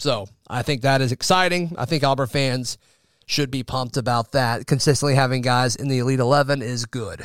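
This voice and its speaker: A man with a normal speaking voice talks at a moderate pace and fairly high pitch, his sound dry and close with no echo on a very clean recording with a silent background. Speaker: sports podcast host. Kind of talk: casual sports talk podcast.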